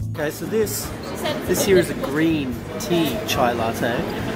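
Music plays behind a man who is talking. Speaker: travel vlogger. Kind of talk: casual vlog chat. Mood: relaxed, pleased. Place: cafe. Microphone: phone near.

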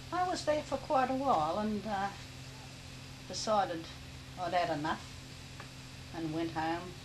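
In an Australian accent, a woman of medium pitch speaks fairly slowly with very wide pitch swings and long, frequent pauses. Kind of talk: interview answer, personal reminiscence.

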